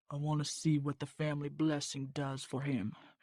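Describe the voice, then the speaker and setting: Delivered at a moderate pace, a put-on character voice sits at a low-to-middle pitch on a very clean recording with a silent background. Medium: read story.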